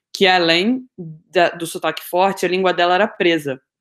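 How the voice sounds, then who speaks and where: At a moderate pace, a woman speaks in a fairly low pitch with a plain, everyday voice. The recording is very clean, with a silent background. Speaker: podcast co-host. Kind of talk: casual chat.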